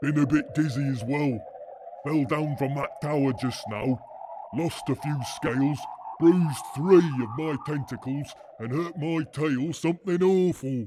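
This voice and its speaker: A man uses a put-on character voice at a fairly high pitch. Clear background noise can be heard. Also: moderate pace. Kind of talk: comic sci-fi radio drama. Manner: slow, plaintive, dim.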